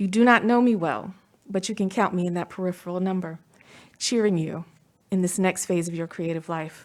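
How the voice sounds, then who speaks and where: A woman at a medium pitch and moderate pace, with ordinary pitch variation, in a very clean recording with a silent background. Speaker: commencement speaker. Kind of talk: commencement speech. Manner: formal.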